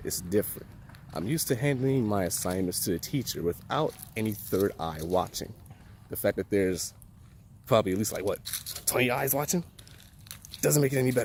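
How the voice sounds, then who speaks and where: A man with a fairly low voice talks at a fairly quick pace with lively intonation, broken by long, frequent pauses. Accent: American. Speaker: college student. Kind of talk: vlog. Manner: casual.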